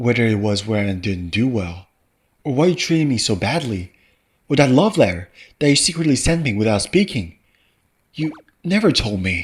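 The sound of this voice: A man with a medium-pitched, slightly husky voice talks at a moderate pace, his pitch swinging widely between long, frequent pauses.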